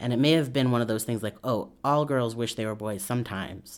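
A man with an American accent uses a plain, everyday voice at a fairly quick pace, with ordinary pitch variation. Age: 20s. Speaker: interviewee. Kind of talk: personal testimony.

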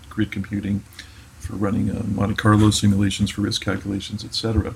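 Over noticeable background noise, a man with a fairly low pitch talks at a fairly quick pace in a monotone, flat intonation. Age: 50s. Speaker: technology executive. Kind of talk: interview. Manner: hesitant, many fillers.

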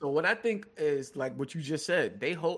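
Over a quiet background, a man with a fairly high pitch and vocal fry talks at a moderate pace with lively intonation. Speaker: guest co-host, gaming commentator. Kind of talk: casual chat. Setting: video call.

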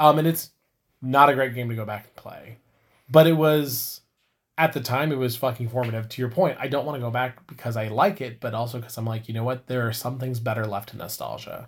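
In a very clean recording with a silent background, a somewhat breathy man with a medium pitch speaks at a fairly quick pace with big swings in loudness. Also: ordinary pitch variation. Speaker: podcast co-host. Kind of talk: casual chat.

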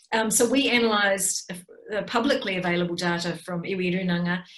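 A woman's medium-pitched voice with a New Zealand accent, ordinary pitch variation, a moderate pace and audible room echo. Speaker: political science professor. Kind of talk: lecture.

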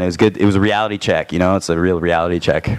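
Noticeable background noise sits behind a man with a Canadian accent and a very deep, low pitch. He talks at a very fast pace with ordinary pitch variation. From Toronto, Canada. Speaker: musician. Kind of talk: casual chat. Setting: studio.

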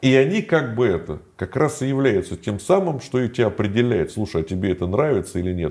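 Talking at a fairly quick pace, a man with a dark, mellow tone and medium pitch makes very wide pitch swings on a very clean recording with a silent background. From Moscow, Russia. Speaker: former prisoner and video blogger. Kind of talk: interview.

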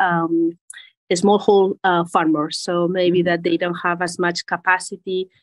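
A woman speaks at a fairly low pitch with a Spanish accent. Her intonation is fairly even. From Spain. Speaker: agribusiness executive. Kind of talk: interview.

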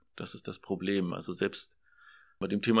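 A man is heard on a very clean recording whose background is silent. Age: 40s. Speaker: social work student. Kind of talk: interview.

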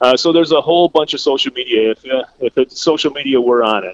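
Speaking at a fairly quick pace with an Upper Midwest accent, a man of medium pitch sounds dry and close with no echo. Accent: Upper Midwest American. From southwest Minnesota. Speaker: bait shop owner and meteorologist. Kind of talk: casual interview.

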